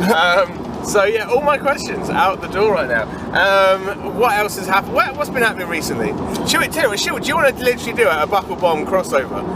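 Against loud background noise, a man talks at a very fast pace in a dry sound with no echo. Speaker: podcast host. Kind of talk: casual podcast chat. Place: car.

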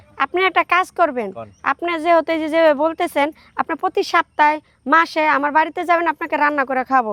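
In a very clean recording with a silent background and a dry, close sound without echo, a woman speaks with an extremely high pitch, a bright, sharp tone, and ordinary pitch variation. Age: young. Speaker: interviewee in a street interview. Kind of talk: casual interview. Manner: animated.

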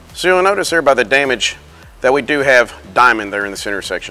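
Over faint music in the background, a man talks at a very fast pace. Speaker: repair trainer. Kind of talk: tutorial. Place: workshop.

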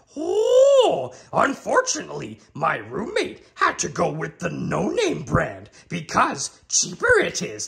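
Putting on a playful character voice, a man speaks at a fairly slow pace with hardly any pauses. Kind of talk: comedy cooking show parody. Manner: inverted word order, playful, comedic.

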